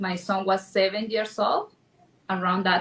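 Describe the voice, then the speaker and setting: Against noticeable background noise, a woman in a Spanish accent speaks at a moderate pace. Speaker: real estate agent and event sponsor. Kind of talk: panel discussion. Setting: stage with audience.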